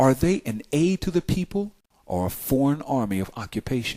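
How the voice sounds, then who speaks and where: Very wide pitch swings from a man with an American accent, fairly slow pace, very clean recording and silent background. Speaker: political prisoner and writer. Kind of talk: spoken word essay reading over music.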